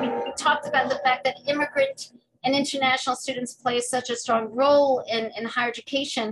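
Music plays in the background as a woman speaks with an American accent. Her high-pitched voice keeps a fairly even intonation. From New York City, Washington Heights. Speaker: higher education leader and immigration scholar. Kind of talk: interview.

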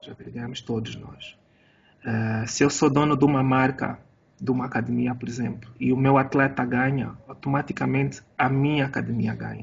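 Big swings in loudness from a man, delivered at a moderate speed. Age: 40s. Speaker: jiu-jitsu coach and podcast host. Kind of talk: casual interview.

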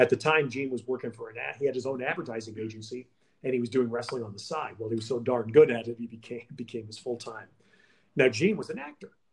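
Somewhat breathy, a man with an American accent talks at a very fast pace with ordinary pitch variation. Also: medium pitch for a man, big swings in loudness. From New York City. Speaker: sports broadcaster. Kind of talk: interview.

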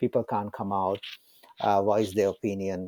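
In a Sri Lankan accent, a man talks with a dark, mellow tone. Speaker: security analyst. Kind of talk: interview. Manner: halting, hesitant.

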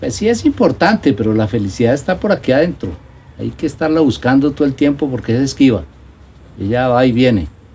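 A man's medium-pitched, somewhat breathy voice, with lively intonation and a fairly quick pace. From Colombia, La Mesa (Cundinamarca). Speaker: nature park owner and entrepreneur. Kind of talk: casual interview. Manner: halting, many repetitions and fillers.

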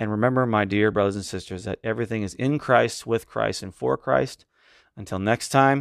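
In a plain, everyday voice, a man speaks at a moderate pace with fairly low pitch and ordinary pitch variation, the sound dry and close with no echo against a quiet background. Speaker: podcast host and preacher. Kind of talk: sermon-style Bible study ending in a closing prayer. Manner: earnest, reverent, fervent; measured, warm and pastoral.

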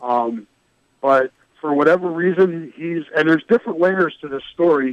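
In a normal speaking voice, a man talks at a moderate pace with fairly high pitch and ordinary pitch variation, the sound dry and close with no echo. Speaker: sports reporter guest. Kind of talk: interview about college football.

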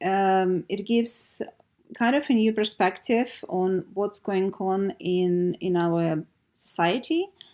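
A woman's medium-pitched voice in a Russian accent, with ordinary pitch variation and a very slow pace, in a very clean recording with a silent background. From Siberia, Russia. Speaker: art producer. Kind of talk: casual interview. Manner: halting, hesitant with frequent fillers.

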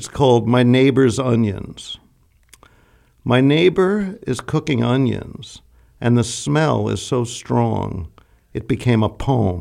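Speaking in an American accent, a man with a medium-pitched, dark, mellow tone uses lively intonation at a very slow pace. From New York City. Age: 70s. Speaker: poet and writer. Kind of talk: poem performed, reading own satirical verse aloud. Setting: studio.

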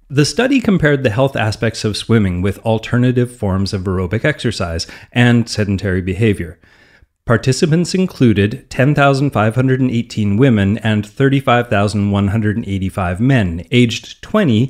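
A man with a Canadian accent talks at a moderate pace and medium pitch, with ordinary pitch variation. It is a plain, everyday voice on a very clean recording with a silent background. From Canadian prairies. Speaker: fitness podcast host. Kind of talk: scripted narration.

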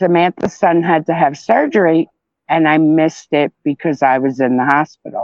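A woman's fairly low-pitched, fairly slow delivery in an ordinary speaking voice. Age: 50s. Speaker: podcast guest, survivor and mother. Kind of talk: casual personal interview, telling her story.

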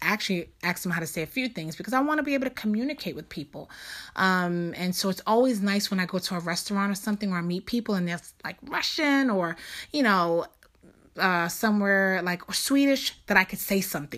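A woman with a New York accent talks at a fairly quick pace and medium pitch, with lively intonation. The recording is very clean, with a silent background. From New York City, Lower East Side. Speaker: podcast host. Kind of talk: personal monologue. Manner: casual.

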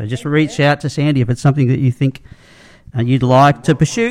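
A man with an Australian accent, fairly high in pitch, at a very fast pace. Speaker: podcast host. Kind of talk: casual chat. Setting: studio.

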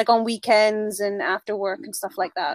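A woman speaks at a moderate pace in a plain, everyday voice with a fairly high pitch, sounding dry and close with no echo on a very clean recording with a silent background. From England and British Columbia, Canada. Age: 40s. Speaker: homeschooling parent living in a converted bus. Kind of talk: casual interview conversation.

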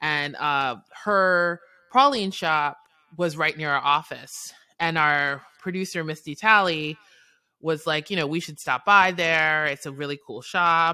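In an American accent, a woman speaks at a very deep, low pitch and a fairly slow pace, with ordinary pitch variation. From New York City. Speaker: film writer and director. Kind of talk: interview.

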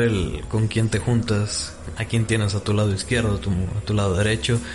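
A man talks at a moderate pace and fairly low pitch with very even loudness and hardly any pauses, amid noticeable background noise. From Mexico, Guadalajara (Jalisco). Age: 20s. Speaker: nanotechnology student. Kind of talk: casual interview.

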